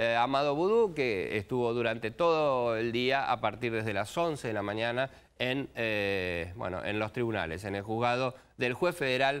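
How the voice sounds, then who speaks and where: At a fairly slow pace, a man talks with lively intonation. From Argentina. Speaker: TV news host. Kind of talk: TV news talk show. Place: studio.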